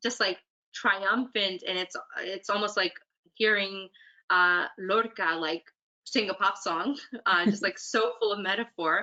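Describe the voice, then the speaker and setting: The tone is animated, bright and sharp, moving at a fairly slow pace with long, frequent pauses. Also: woman, medium pitch for a woman. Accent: Spanish. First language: Spanish. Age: 30s. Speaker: poet. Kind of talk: Q&A answers. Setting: virtual event. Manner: animated, many fillers.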